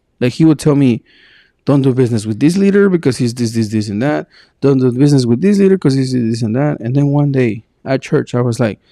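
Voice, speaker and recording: In a Spanish accent, a man with a medium pitch and a dark, mellow tone talks very fast, recorded dry and close with no echo. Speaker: podcast co-host. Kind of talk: casual chat. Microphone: sometimes sounds far from the mic.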